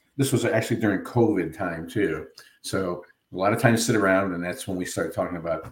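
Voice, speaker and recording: A man's fairly low, somewhat breathy voice at a very fast pace with ordinary pitch variation. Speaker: novelist and former TV producer. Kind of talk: radio interview.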